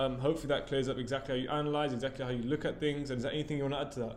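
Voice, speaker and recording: Amid noticeable background noise and audible room echo, a man with a British accent talks at a very fast pace with fairly high pitch and fairly even intonation. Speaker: property business owner. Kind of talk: tutorial.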